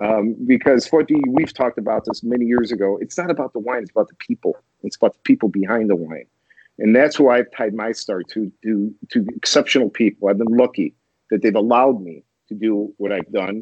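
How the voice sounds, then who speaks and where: A man with a normal speaking voice and an American accent, medium in pitch, with ordinary pitch variation and a fairly quick pace. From US Midwest, Chicago. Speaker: wine importer. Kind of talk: casual interview.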